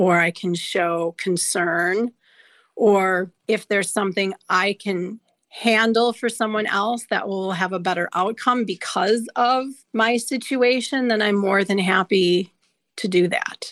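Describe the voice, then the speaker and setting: A woman with an Upper Midwest accent at a fairly slow pace with fairly even intonation, on a very clean recording with a silent background and a dry, close sound with no echo. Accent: Upper Midwest American. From Wisconsin, north of Milwaukee. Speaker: guest sharing personal story. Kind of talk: personal storytelling.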